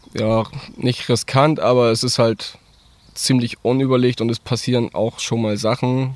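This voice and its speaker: His pace is fairly slow. The man's intonation is monotone and flat. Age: 20s. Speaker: farmer and volunteer firefighter. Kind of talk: casual interview. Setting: outdoors in a forest.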